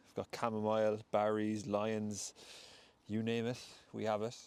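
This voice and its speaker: A man with a western Irish accent, fairly low in pitch, monotone and flat, at a moderate pace. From Ireland, County Mayo. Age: 20s. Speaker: podcast host and breathwork facilitator. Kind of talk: solo podcast monologue. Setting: outdoors in a wood.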